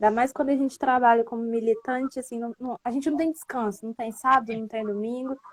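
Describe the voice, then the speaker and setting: Her high pitch and fairly even intonation carry at a fairly quick pace, this woman's sound dry and close with no echo. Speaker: live stream host. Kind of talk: casual chat. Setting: live video call. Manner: soft-spoken.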